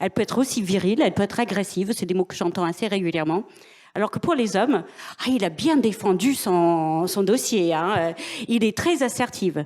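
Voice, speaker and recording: This woman has an unremarkable speaking voice, pitched in the middle range, moving at a moderate pace with ordinary pitch variation. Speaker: business executive. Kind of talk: panel discussion.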